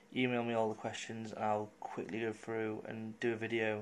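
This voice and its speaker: A man with an English accent talks in a monotone, flat intonation. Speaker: vlogger. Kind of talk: casual vlog update. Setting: at home.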